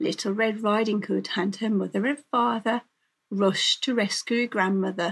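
This is reading aloud in a natural voice, with ordinary pitch variation over a quiet background.

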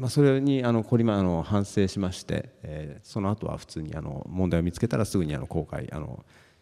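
Very deep and low in pitch, a man speaks at a moderate pace with a dark, mellow tone, lively intonation and big swings in loudness over a quiet background. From Amami Oshima, Kagoshima, Japan; Kagoshima, Japan. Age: 40s. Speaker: science fiction writer; keynote speaker. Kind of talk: panel presentation. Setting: stage with audience. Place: hall.

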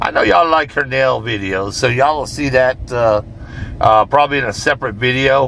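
Over light background noise, the voice shows ordinary pitch variation in a dry sound with no echo. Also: man. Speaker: vlogger. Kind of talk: casual vlog chat. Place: car. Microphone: phone near.

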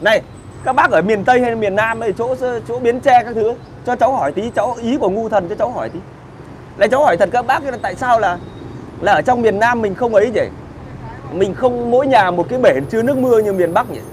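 Pausing long and often, a man speaks in an animated tone at an extremely high pitch, with light background noise. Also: ordinary pitch variation, fairly quick pace. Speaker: online video host. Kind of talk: casual chat, live stream with viewers. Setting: live stream. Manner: animated, colloquial, crude. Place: cafe. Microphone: lapel.

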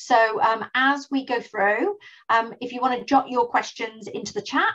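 A woman speaks with fairly even intonation over a quiet background. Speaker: webinar host. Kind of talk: webinar presentation. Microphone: video call.

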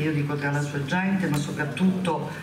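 A woman at a moderate pace, with crowd noise in the background and audible room echo. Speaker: local politician introducing leader. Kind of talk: political rally speech. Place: hall. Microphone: podium.

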